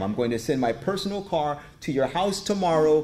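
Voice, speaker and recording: A man's voice with lively intonation. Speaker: pastor. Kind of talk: sermon, preacher in full flow with rhetorical questions and call-and-response. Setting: church with congregation. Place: church. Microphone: podium.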